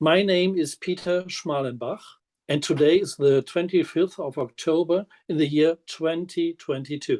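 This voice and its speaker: A man with a German accent talks at a high pitch and moderate pace, with a dry, close sound and no echo. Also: fairly even intonation. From Germany. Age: 60s. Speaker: minister and physiotherapist. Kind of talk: prepared self-introduction.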